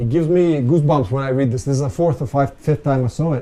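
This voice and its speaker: With a somewhat breathy voice, a man speaks at a fairly quick pace and with ordinary pitch variation. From Ukraine. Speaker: business consultant and guest speaker. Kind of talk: lecture. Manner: halting.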